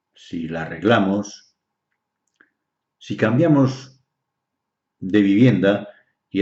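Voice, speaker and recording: Fairly low in pitch, a man speaks at a very slow pace with ordinary pitch variation. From Galicia, Spain. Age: 60s. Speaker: naturopath and dowser. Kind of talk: explanatory talk on health. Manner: hesitant, many fillers.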